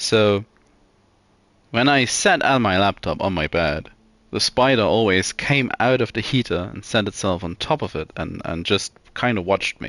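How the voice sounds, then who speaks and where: Using lively intonation, a man with a non-native accent speaks at a moderate pace and fairly low pitch, in a dry, close sound with no echo. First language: not English. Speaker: video game streamer. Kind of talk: casual gameplay stream chat. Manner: hesitant, many fillers and repeats.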